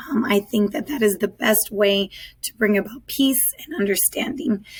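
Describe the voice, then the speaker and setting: Over noticeable background noise, a woman with an American accent speaks at a moderate pace with ordinary pitch variation. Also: fairly high pitch for a woman. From Southern California, US. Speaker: high school Spanish teacher. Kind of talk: virtual back-to-school night presentation.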